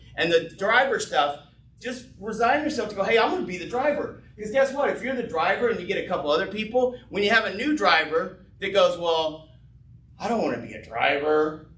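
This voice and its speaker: A man with a Texas accent speaks at a fairly quick pace in a high pitch, animated and with lively intonation. His loudness swings widely, and audible room echo surrounds him. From Texas, Fort Worth. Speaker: business owner presenting an opportunity. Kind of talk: business presentation with Q&A. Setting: live event with audience, streamed on Zoom and Facebook. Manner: fast.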